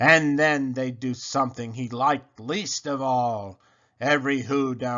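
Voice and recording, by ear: With fairly even intonation, a natural voice reads the passage aloud.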